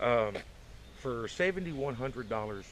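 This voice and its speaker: With a Southern US accent, a man talks in very wide pitch swings. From Arkansas. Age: 50s. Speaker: vlogger. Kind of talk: casual chat. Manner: halting, many fillers.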